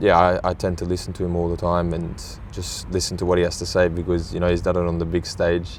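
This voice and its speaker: A man with an Australian accent speaks at a moderate pace in a very deep, low pitch. The room echo is audible. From Australia, Sydney. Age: 20s. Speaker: professional footballer. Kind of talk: interview. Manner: halting, many fillers.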